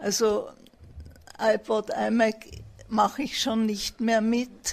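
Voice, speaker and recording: A woman's somewhat breathy, fairly high voice, monotone and flat in intonation, at a very slow pace. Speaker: retired teacher. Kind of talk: interview.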